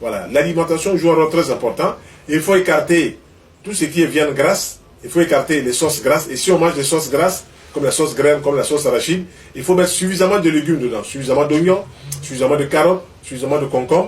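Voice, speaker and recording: This man's fairly high pitch shows ordinary pitch variation as he races along at a very fast pace. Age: 60s. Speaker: traditional health practitioner. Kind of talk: interview answer on health advice.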